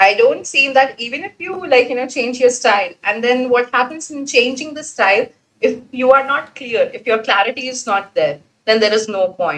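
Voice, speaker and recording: A woman with an Indian accent and a high pitch speaks at a moderate pace, with lively intonation and big swings in loudness. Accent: regional Indian. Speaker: exam student. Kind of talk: class discussion.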